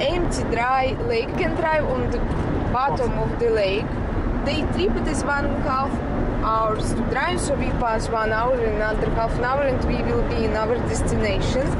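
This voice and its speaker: A woman speaks at a moderate pace with ordinary pitch variation. Loud background noise runs behind her. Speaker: passenger vlogger. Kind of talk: casual vlog chat. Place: car. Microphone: phone near.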